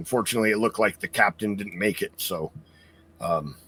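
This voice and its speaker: Putting on a character voice, a man speaks at a fairly quick pace in a raspy, fairly low pitch. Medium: actual play. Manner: polite, stammering, hesitant.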